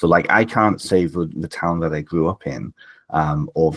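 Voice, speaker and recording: With a very deep, low voice and some vocal fry, a man talks at a moderate pace. His pitch moves in an ordinary way. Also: dry, close sound with no echo. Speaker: author and spiritual teacher. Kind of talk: podcast interview.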